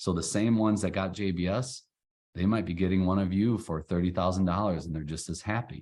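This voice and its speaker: Against a quiet background, a man talks at a fairly quick pace in a very deep, low voice. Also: fairly even intonation. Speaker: cybersecurity IT provider. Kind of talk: webinar presentation. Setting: online webinar. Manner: fast.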